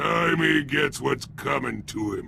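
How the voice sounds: In a put-on character voice, a man speaks slowly with lively intonation, a bright, sharp tone and vocal fry.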